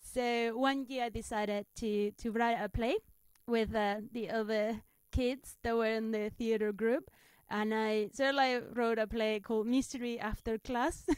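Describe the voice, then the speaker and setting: Someone speaks fairly slowly in a Spanish accent with fairly even intonation. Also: woman, fairly high pitch for a woman. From Spain. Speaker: stand-up comedian. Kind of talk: interview. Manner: halting.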